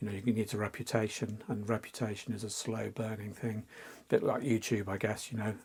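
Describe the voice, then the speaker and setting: A man with an English accent, somewhat breathy, in monotone, flat intonation. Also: fairly quick pace. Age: 60s. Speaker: fantasy artist. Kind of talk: interview. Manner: halting.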